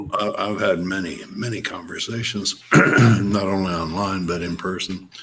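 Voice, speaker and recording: Against noticeable background noise, a man with a very deep, low pitch speaks at a fairly slow pace in a flat monotone. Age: 70s. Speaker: radio host. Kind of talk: casual chat.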